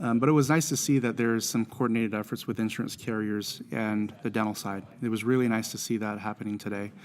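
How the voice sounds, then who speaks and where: A man talks very fast with hardly any pauses. His medium pitch follows fairly even intonation. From American Samoa. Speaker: dental insurance consultant and speaker. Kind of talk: interview. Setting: live at a conference event. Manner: filler-heavy, repeats words.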